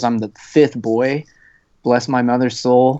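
Moderate-paced, medium-pitched male speech in a plain, everyday voice. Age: 20s. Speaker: student and type 1 diabetic hiker. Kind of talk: podcast interview.

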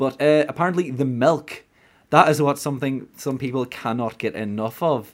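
Using a Donegal accent, a man speaks at a moderate pace and medium pitch with ordinary pitch variation. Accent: Donegal Irish. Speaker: podcast host. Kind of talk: casual chat.

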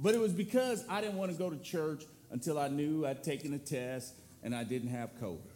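Audible room echo surrounds a man speaking at a fairly quick pace. His fairly high voice swings very widely in pitch. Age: 50s. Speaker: guest preacher, church board member. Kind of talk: sermon. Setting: church with congregation. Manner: loud, powerful delivery.

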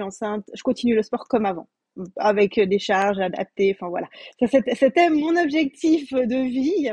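Over a quiet background, a woman speaks at a fairly slow pace and a high pitch, with a dry, close sound and no echo. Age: 30s. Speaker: pregnant coaching client, childcare educator. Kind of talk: testimony.

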